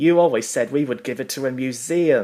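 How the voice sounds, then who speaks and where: A man's put-on character voice at a medium pitch. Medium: read story.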